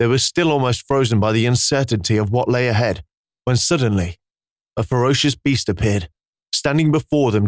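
It is a natural reading voice with ordinary pitch variation, set against a quiet background.

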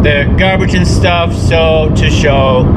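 Loud background noise fills the recording. A man speaks at a very slow pace. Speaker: artist vlogger. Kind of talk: casual vlog chat. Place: car. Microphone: phone near.

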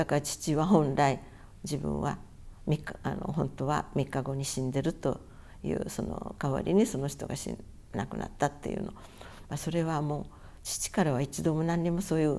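A woman with a very deep, low pitch and a dark, mellow tone speaks at a moderate pace, using vocal fry and ordinary pitch variation. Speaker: atomic bomb survivor. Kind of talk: testimony. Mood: calm, earnest recollection. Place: home room.

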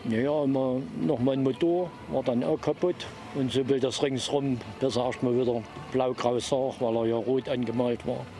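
A man's medium-pitched voice at a moderate pace, with fairly even intonation, few pauses and clear background noise.

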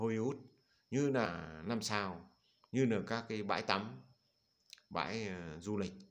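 A man speaks very slowly at a fairly low pitch with ordinary pitch variation, and room echo is audible. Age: old. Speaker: Buddhist monk. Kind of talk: dharma talk. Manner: halting.

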